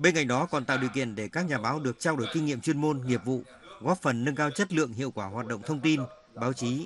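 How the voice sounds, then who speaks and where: A man's medium-pitched voice at a very fast pace, lively in intonation, amid noticeable background noise. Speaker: news reporter. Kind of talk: scripted narration.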